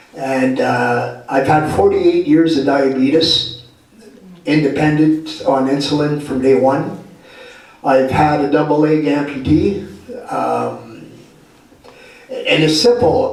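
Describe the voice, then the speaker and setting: A man with a Canadian accent speaks at a very slow pace with long, frequent pauses, amid noticeable background noise and audible room echo. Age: 60s. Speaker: health and homelessness advocate, guest speaker. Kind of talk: talk to a live audience. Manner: casual, plain-spoken.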